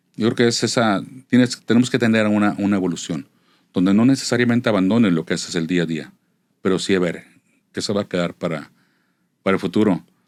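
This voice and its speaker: A very fast pace with long, frequent pauses and ordinary pitch variation, on a very clean recording with a silent background. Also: man, fairly low pitch for a man. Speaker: veteran crime reporter. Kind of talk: interview. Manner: conversational, reflective.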